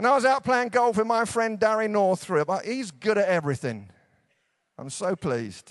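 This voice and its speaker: A man's high-pitched, warm-toned voice in an English accent, with lively intonation at a moderate pace. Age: 50s. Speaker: preacher. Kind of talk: evangelical conference sermon, warm pastoral exhortation to a big-tent crowd. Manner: conversational and self-deprecating, easing into humorous anecdotes; warm, earnest, rising encouragement with repeated rhetorical punches.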